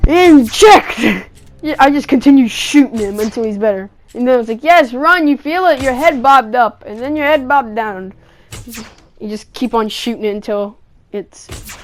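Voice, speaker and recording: Over noticeable background noise, a high-pitched woman talks at a moderate pace with lively intonation and big swings in loudness. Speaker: gaming YouTuber. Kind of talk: gameplay voiceover commentary.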